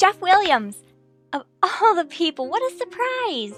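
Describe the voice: A woman in a put-on character voice speaks at an extremely high pitch with big pitch swings, a fairly bright tone and a fairly slow pace, with faint music in the background.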